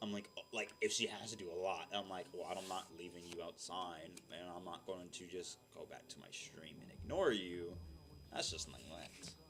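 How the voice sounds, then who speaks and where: Loudness swings widely while the intonation stays fairly even. The pace is moderate. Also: man, very deep, low pitch for a man. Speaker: gaming streamer. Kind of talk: casual chat. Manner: clear enunciation.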